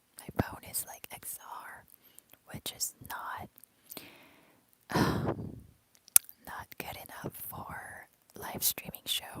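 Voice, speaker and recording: Whispering at a very slow pace, a woman leaves long, frequent pauses, her loudness swinging widely over noticeable background noise. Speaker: ASMR streamer. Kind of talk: ASMR live stream chat.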